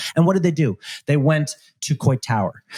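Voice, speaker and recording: Somewhat breathy and dark, mellow in tone, the voice comes with a New York accent in a dry, close sound with no echo. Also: man. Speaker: panelist, small business advocate. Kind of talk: live panel discussion. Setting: live panel with audience.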